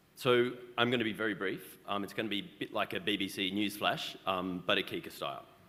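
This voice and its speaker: A man with an Australian accent, fairly low in pitch, at a moderate pace with ordinary pitch variation. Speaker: arbitration institution head. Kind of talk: conference report.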